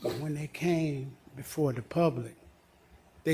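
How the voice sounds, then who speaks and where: Speaking with an American accent at a moderate pace, a man uses a fairly high pitch, a dark, mellow, somewhat breathy tone and fairly even intonation. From US South, Georgia (College Park). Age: 60s. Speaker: resident giving public comment. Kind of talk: public comment at council meeting. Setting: city council meeting.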